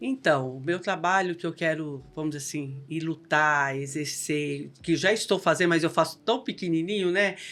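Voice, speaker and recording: Music plays in the background. A woman talks fairly slowly, with ordinary pitch variation. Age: 60s. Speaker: local political women's group leader, cancer survivor. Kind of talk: podcast interview, casual chat. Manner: animated.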